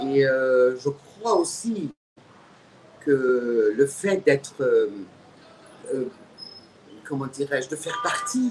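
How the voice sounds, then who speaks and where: The voice belongs to a woman. It swings very widely in pitch. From Egypt. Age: 60s. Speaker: writer and activist. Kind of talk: interview. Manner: halting.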